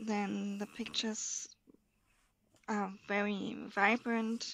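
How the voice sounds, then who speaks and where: In a German accent, a woman speaks at a very slow pace with monotone, flat intonation. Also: medium pitch for a woman. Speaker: coloring hobbyist video creator. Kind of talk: casual show-and-tell. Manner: halting, with many fillers.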